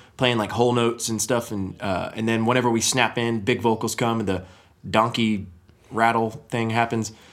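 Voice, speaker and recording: A man talks at a fairly quick pace. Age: young. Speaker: musician. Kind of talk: casual chat.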